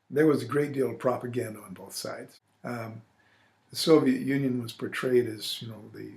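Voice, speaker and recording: A man with an American accent and vocal fry speaks at a moderate pace and medium pitch, keeping his intonation fairly even while his loudness swings widely. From US Midwest, Illinois. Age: 60s. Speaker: retired army officer, war veteran. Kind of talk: oral history interview. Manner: hesitant with fillers.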